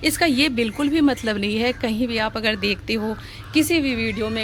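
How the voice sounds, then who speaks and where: Woman at a fairly high pitch with ordinary pitch variation, music in the background. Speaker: gardening vlogger. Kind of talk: casual tutorial vlog. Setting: outdoors on a rooftop terrace garden. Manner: conversational, chatty.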